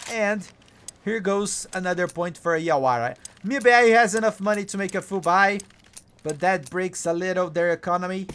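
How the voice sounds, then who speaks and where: A high-pitched man with a Brazilian Portuguese accent. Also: ordinary pitch variation, moderate pace. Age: 30s. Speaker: esports caster. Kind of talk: live commentary. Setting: live stream.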